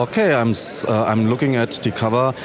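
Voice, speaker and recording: Over noticeable background noise, a man talks with a German accent and fairly even intonation. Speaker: YouTuber interviewer. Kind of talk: interview. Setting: demoparty event floor.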